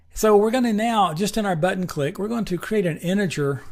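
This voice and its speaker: A man with a slight Tennessee accent. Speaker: programming instructor. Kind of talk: tutorial. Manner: casual, conversational.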